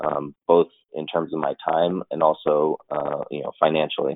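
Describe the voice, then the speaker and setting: A man speaks with an American accent. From Los Angeles, US. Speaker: army veteran in technical sales. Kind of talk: interview. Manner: hesitant, many fillers.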